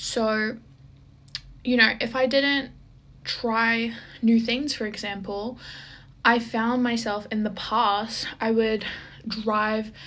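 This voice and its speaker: With a fairly high pitch and monotone, flat intonation, a woman talks at a very slow pace with long, frequent pauses. Audible room echo surrounds her voice. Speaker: lifestyle vlogger. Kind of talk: casual vlog monologue.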